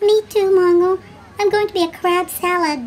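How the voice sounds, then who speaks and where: A cartoonish character voice with extremely high pitch moves along at a moderate pace. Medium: puppet show. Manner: gloomy, fearful.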